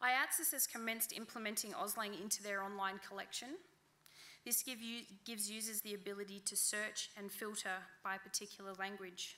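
Speaking with an Australian accent, a woman has a bright, sharp tone, medium pitch and fairly even intonation. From central New South Wales, Australia. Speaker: library outreach officer; conference presenter. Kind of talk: conference talk. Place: hall. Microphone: podium.

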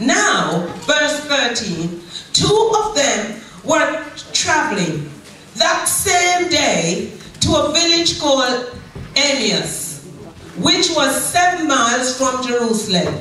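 A woman's raised, projected voice at a very slow pace, with strong room echo and light background noise. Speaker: pastor. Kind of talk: sermon. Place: church.

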